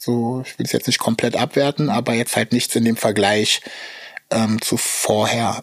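Medium-pitched and monotone, the man speaks with flat intonation at a moderate pace. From Berlin. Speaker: battle rapper. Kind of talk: interview.

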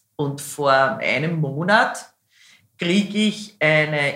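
A woman with a Viennese accent speaks with lively intonation. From Lower Austria, Hainburg and Schwechat near Vienna. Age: 50s. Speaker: singer. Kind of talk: casual interview. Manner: loud.

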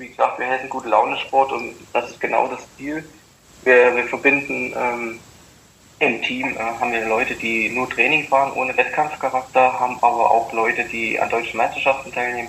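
The speaker holds a monotone, flat intonation at a moderate pace, with big swings in loudness. Noticeable background noise runs underneath. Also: man, medium pitch for a man. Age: 30s. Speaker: former pro cyclist and sports event organizer. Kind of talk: interview.

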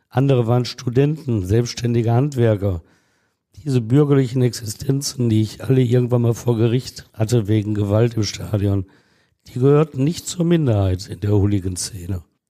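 Dark and mellow in tone, a man speaks at a moderate pace with medium pitch and ordinary pitch variation. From Essen, Ruhr area, Germany. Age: 60s. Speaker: court reporter. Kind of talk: storytelling.

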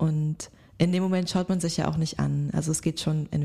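At a moderate pace, a woman speaks. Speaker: podcast co-host. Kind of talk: casual chat.

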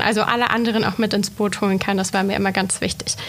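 Noticeable background noise surrounds a woman's voice. Her intonation stays fairly even. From Swabia, Germany (Reutlingen). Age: 30s. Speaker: newspaper editor and manager. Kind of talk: podcast interview.

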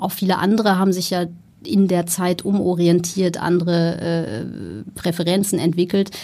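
A woman's fairly low voice at a moderate pace, fairly even intonation, and noticeable background noise. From Germany, Ruhr area. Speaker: entrepreneur, founder of a tech training school. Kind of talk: interview.

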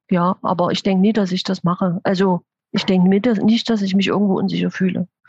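A woman speaks at a medium pitch with monotone, flat intonation and very even loudness. Her voice is somewhat breathy, with a dry, close sound and no echo. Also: fairly quick pace. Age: 50s. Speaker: intensive care nurse. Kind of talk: interview.

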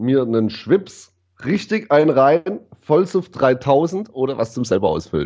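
A man with a medium-pitched voice speaks at a very slow pace, his pitch swinging very widely. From southwest Germany, Ditzingen near Stuttgart. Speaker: DJ. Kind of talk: casual chat.

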